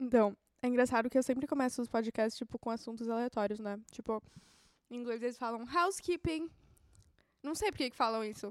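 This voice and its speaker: Recorded with a dry, close sound and no echo, a woman talks at a fairly quick pace in a high pitch. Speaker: podcast host. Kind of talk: casual solo chat.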